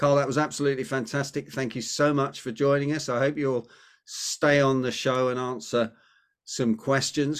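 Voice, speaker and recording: This man has a British accent. His voice sits fairly high. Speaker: podcast host. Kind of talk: casual interview chat. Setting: video call.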